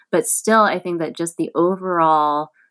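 A woman talks at a moderate pace in an ordinary speaking voice, with fairly low pitch and ordinary pitch variation. The recording is very clean, with a silent background. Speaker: magazine editor. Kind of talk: interview conversation.

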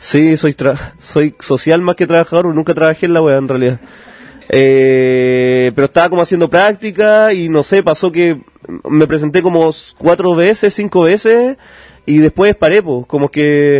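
At a fairly slow pace, a man with a Chilean accent speaks in a fairly high pitch with ordinary variation. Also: very even loudness, dry, close sound with no echo. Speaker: stand-up comedian. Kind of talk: casual chat.

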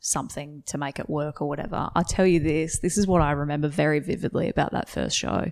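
A woman with an Australian accent speaks in a very deep, low pitch with ordinary pitch variation. The recording is very clean, with a silent background. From Western Australia, rural. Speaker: stand-up comedian. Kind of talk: casual interview. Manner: hesitant, many fillers.

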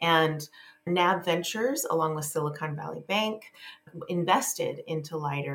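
Woman with a very deep, low pitch at a moderate pace, against noticeable background noise. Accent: American. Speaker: venture investor and company CEO. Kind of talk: interview.

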